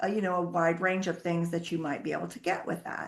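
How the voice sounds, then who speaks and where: This woman has a normal speaking voice with a fairly low pitch. She talks at a fairly quick pace. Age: 60s. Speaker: accounting firm founder. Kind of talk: interview.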